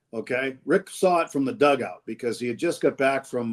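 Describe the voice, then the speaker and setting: A fairly quick pace with ordinary pitch variation. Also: man. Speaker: radio play-by-play announcer. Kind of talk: interview answer about baseball. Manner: conversational, enthusiastic.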